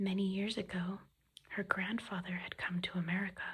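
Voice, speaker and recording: Soft-spoken and whispering, the voice keeps to a moderate pace. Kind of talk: soft-spoken ASMR book reading. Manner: soft-spoken, whispery, relaxing.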